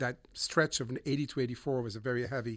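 A man with a European accent talks at a fairly quick pace. His intonation is fairly even, on a very clean recording with a silent background. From Switzerland, Montreux. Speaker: audio engineer and musician. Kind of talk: casual conversation. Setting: recording studio.

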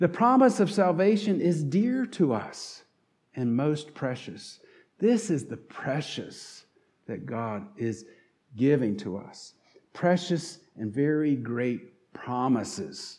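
A man with a slight Southern accent, very slow, with very wide pitch swings and audible room echo. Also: fairly high pitch for a man. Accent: slight southern twang. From North Carolina. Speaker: pastor. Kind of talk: sermon.

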